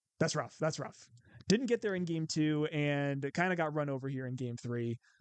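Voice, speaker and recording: Against a quiet background, a man with a Midwestern accent speaks at a moderate pace with a fairly high pitch and ordinary pitch variation, the sound dry and close with no echo. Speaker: card game content creator. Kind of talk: gameplay commentary. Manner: casual, thinking aloud.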